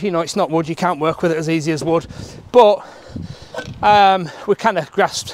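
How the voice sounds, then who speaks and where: With light background noise, a man talks at a fairly quick pace with ordinary pitch variation and a dry sound without echo. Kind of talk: tutorial. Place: garden. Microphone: phone near.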